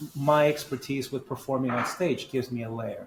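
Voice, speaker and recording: Against noticeable background noise, a man speaks at medium pitch with fairly even intonation. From grew up in many countries, child refugee. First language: not English (fourth language). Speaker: personal branding coach. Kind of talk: interview conversation. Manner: halting, frequent restarts.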